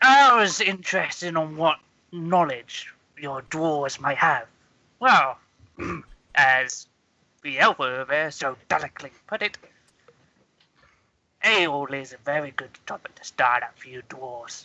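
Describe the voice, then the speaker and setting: In a put-on character voice with a low-to-middle pitch, the speaker leaves long, frequent pauses. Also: moderate pace. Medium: actual play. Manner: halting, formal.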